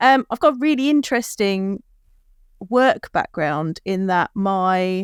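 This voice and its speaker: A woman with an English accent speaks at a medium pitch with lively intonation. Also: dry, close sound with no echo. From southern England, Kent. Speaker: beer educator. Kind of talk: casual interview. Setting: video call.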